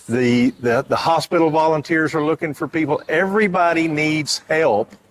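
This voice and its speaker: At a moderate pace, a man with a Texan accent talks in a fairly high pitch, with ordinary pitch variation and very even loudness. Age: 60s. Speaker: reunion committee member. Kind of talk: interview. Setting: event center pavilion.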